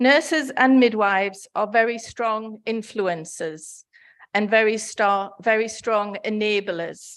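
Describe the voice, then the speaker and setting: A woman with a northeast English accent speaks at a very slow pace in a fairly high pitch. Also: ordinary pitch variation, quiet background. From northeast England. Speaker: nursing federation representative, conference speaker. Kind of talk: conference speech. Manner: formal.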